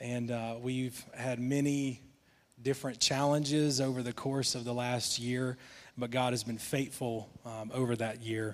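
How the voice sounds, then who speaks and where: A man's medium-pitched, monotone voice at a fairly slow pace, on a very clean recording with a silent background. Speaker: guest preacher. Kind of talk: sermon. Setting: church with congregation.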